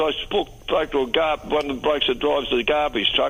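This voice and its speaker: There is noticeable background noise. Through it, a man with an Australian accent talks at a fairly quick pace. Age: 80s+. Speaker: caller. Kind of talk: talkback radio call. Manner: halting, repetitive.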